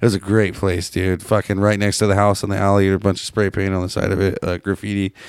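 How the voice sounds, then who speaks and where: A man with a Pacific Northwest accent, a fairly low pitch and a very fast pace with hardly any pauses. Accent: Pacific Northwest American. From Seattle, US. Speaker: podcast host. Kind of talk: casual chat, profane banter. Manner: rambling, casual, animated.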